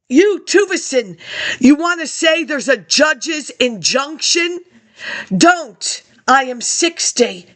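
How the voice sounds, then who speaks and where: Speaking at a very slow pace, a woman with a high pitch uses lively intonation. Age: 60s. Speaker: vlogger. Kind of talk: monologue rant. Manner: agitated.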